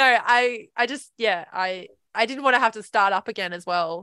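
A woman's bright, sharp, fairly high voice over a quiet background. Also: dry, close sound with no echo. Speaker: film photographer and co-host. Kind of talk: casual chat. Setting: live stream. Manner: laughs often.

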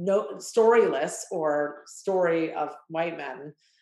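A woman's fairly low-pitched voice, with audible room echo. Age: 30s. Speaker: ice cream company founder. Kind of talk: interview.

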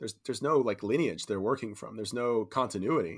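A man with a Californian accent talks at a moderate pace. His pitch is medium. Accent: Californian American. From California, San Francisco Bay Area. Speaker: real estate developer. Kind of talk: casual interview chat.

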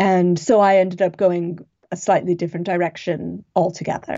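A woman in an American accent, medium-pitched and fairly slow. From US West Coast, Los Angeles. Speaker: novelist and historian. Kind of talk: interview. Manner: halting.

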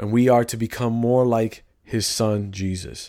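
Someone with an American accent speaks in a flat monotone at a fairly slow pace, captured in a very clean recording with a silent background. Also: man. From US Midwest, Chicago inner city. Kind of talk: faith-based monologue, sermon-like. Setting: studio, solo at a mic. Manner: casual, conversational.

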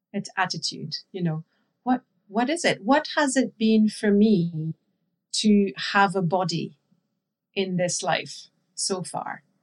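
Someone speaks at a very slow pace in a French accent, with ordinary pitch variation. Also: woman. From France. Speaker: intuitive eating and body image coach. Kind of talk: interview conversation.

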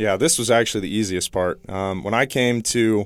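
A man's normal speaking voice, fairly low in pitch. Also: very clean recording, silent background. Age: 20s. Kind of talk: interview. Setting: studio.

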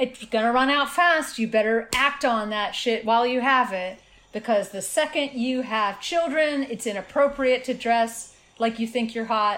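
Delivered at a moderate pace with ordinary pitch variation, this is a normal speaking voice. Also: woman, fairly high pitch for a woman. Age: 50s. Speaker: author. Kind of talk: casual interview conversation.

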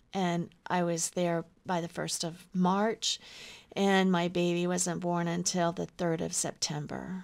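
This woman speaks with an American accent at a fairly low pitch. Her pace is fairly slow. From Oklahoma. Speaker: writer and filmmaker. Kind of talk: interview. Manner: halting.

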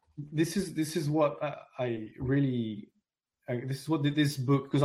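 A man speaks with a French accent. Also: very clean recording, silent background. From France, raised in London. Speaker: essayist and author. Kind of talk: interview.

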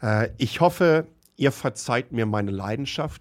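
Very slowly, a man speaks at a medium pitch, the sound dry and close with no echo on a very clean recording with a silent background. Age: 50s. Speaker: tech podcast host. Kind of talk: solo commentary podcast. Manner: animated.

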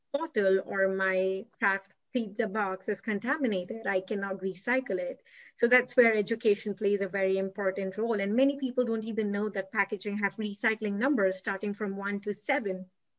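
A woman speaks with an Indian accent. Her intonation stays fairly even. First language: Tamil. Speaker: graduate student. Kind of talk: casual interview.

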